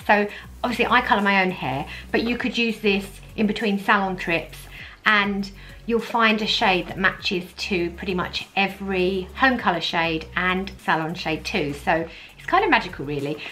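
Over faint background music, the speaker talks at a moderate pace with ordinary pitch variation and big swings in loudness. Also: woman. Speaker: beauty vlogger. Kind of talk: casual vlog chat. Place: home room.

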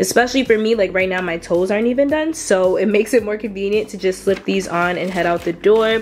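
A woman speaks with ordinary pitch variation while faint music plays in the background. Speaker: lifestyle vlogger. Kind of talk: casual product review chat. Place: home room.

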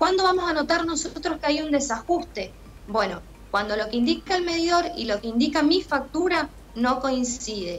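A woman with a high pitch speaks at a moderate pace, her intonation lively. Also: few pauses.

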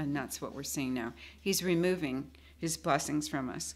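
The speaker has an American accent and a moderate pace. The intonation is lively. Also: woman. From United States. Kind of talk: sermon. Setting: church. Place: classroom. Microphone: studio mic.

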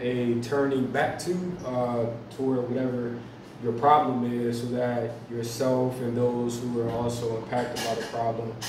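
Speaking at a fairly slow pace, a man is heard with audible room echo and noticeable background noise. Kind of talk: artist talk about own painting. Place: cafe. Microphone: camera far.

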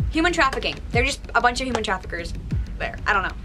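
A woman is speaking. Clear music plays in the background. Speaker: video host. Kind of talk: casual vlog storytelling. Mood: spooky, disgusted at parts.

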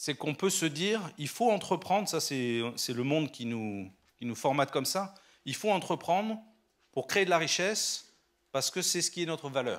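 A man's fairly high voice in very wide pitch swings over a quiet background. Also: moderate pace. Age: 50s. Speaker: entrepreneur and guest speaker; guest. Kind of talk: sermon. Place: church. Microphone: handheld.

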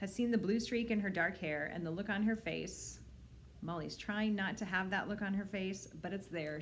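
The woman's pitch varies in an ordinary way. She talks at a moderate pace over light background noise. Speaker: librarian. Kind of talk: children's book read-aloud. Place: home room. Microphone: phone near.

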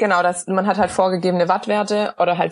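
A woman speaks at a fairly quick pace and a medium pitch, her voice somewhat breathy. Her intonation stays fairly even against a quiet background. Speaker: professional cyclist. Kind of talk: podcast interview answer.

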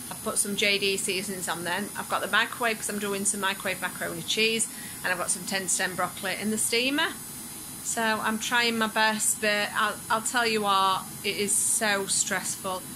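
Against noticeable background noise, a woman talks at a moderate pace with fairly even intonation. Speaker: food vlogger. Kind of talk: casual vlog chat. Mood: stressed, a bit flustered. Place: home room.

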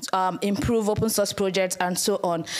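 A woman speaks with a Nigerian accent. Her intonation stays fairly even. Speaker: community manager and conference speaker. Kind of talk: conference talk. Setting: stage with audience. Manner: fast. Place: hall.

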